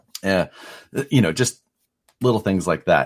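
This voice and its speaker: Speaking with a Midwestern American accent, a man has a very deep, low pitch and ordinary pitch variation. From US Midwest, Nebraska. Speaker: RC parts designer and crawler competitor. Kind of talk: casual chat.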